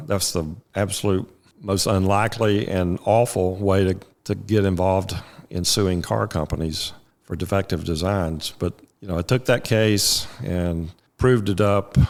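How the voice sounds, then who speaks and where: Very deep and low, a man's voice comes through in an American accent with ordinary pitch variation. He speaks at a fairly slow pace on a very clean recording with a silent background. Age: 60s. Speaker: trial lawyer. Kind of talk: interview.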